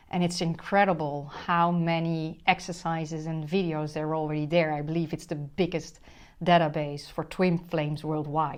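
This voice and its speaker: A woman with a Dutch accent talks at a moderate pace with monotone, flat intonation. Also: fairly low pitch for a woman, quiet background. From Netherlands. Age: 50s. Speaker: spiritual relationship coach. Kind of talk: motivational monologue to camera.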